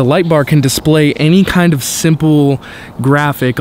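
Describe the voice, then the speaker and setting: With light background noise and a dry sound free of echo, a man speaks with ordinary pitch variation. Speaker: photography vlogger. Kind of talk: tutorial. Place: street. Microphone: phone near.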